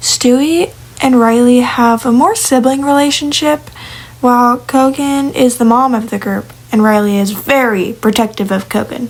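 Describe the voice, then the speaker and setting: Her pitch high, a woman speaks at a moderate pace. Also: ordinary pitch variation. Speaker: digital artist talking about original characters. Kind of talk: casual monologue. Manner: hesitant with fillers and restarts.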